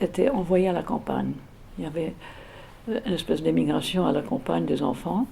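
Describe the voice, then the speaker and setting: A woman talks at a moderate pace. Noticeable background noise can be heard behind her. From England, London. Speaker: interviewee recounting childhood memories. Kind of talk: oral history interview. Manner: hesitant, many fillers and repetitions.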